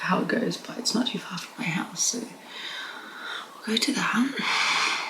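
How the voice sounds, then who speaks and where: A woman whispers with long, frequent pauses. Room echo is audible and background noise is noticeable. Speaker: vlogger. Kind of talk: casual vlog talk to camera. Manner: whispering; hesitant, many fillers.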